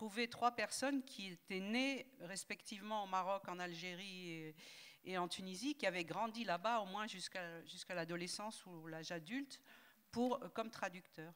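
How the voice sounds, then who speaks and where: Talking at a moderate pace with ordinary pitch variation, a woman uses an ordinary speaking voice. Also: medium pitch for a woman. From southern France, Toulouse. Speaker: linguist and translator. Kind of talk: panel discussion.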